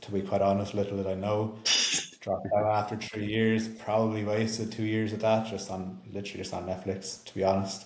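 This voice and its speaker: A man with an Irish accent talks at a fairly quick pace in a fairly low pitch and monotone, flat intonation, with noticeable background noise around him. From Ireland. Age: 20s. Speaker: health and performance coach. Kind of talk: casual podcast talk.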